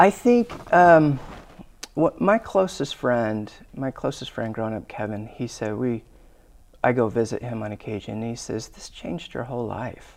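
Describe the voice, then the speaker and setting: With lively intonation and a medium pitch, a man talks at a moderate pace. His loudness swings widely. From Arizona, US. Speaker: church member sharing faith story. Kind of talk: testimony. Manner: halting.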